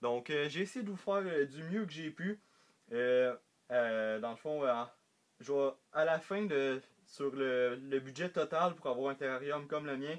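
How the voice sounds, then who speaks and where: Speaking with a Quebec accent, a man uses a fairly high pitch and ordinary pitch variation. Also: quiet background. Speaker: reptile hobbyist YouTuber. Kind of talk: casual tutorial vlog. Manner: halting, many fillers.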